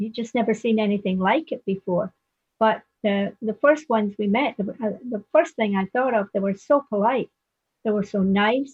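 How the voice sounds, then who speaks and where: Somewhat breathy, a woman speaks at a fairly high pitch and a moderate pace with ordinary pitch variation. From Scotland. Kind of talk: casual reminiscing conversation.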